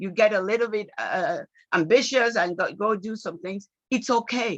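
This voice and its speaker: Ordinary pitch variation marks an unremarkable speaking voice at a moderate pace. The loudness swings a great deal. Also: woman, fairly high pitch for a woman. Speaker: lecturer on personal finance. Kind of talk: online lecture.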